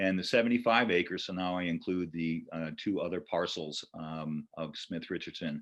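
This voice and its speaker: A man with an American accent and a very deep, low pitch, ordinary pitch variation and a moderate pace, against a quiet background. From Connecticut (New Canaan). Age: 60s. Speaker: retired banker and land trust volunteer steward. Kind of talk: presentation talk. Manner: hesitant, many fillers.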